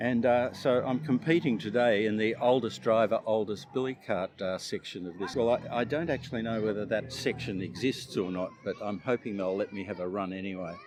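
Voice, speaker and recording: A man speaks with an Australian accent at a medium pitch and fairly quick pace, with hardly any pauses. His pitch variation is ordinary, and background noise is noticeable. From Australia, Melbourne. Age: 70s. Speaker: retired clothing retailer, billy cart racer. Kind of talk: casual interview. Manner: halting.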